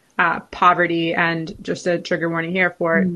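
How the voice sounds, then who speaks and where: A woman with an American accent talks fairly quickly in a normal speaking voice at a fairly low pitch. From California. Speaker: food studies researcher. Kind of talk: interview.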